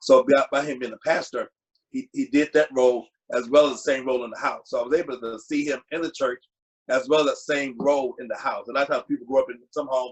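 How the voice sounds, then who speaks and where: Delivered at a very fast pace in a Virginia accent, the speech has fairly even intonation. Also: man, fairly high pitch for a man. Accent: US South, Virginia. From Virginia, Lynchburg. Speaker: community father figure. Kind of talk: panel interview.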